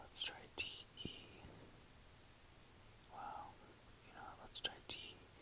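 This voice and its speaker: The words are whispered very slowly. Long pauses break them up frequently. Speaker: ASMR creator. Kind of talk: ASMR gameplay commentary.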